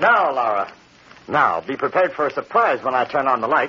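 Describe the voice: Putting on a character voice, a man at medium pitch sounds bright and sharp with a slightly husky edge, moving at a moderate pace with big pitch swings.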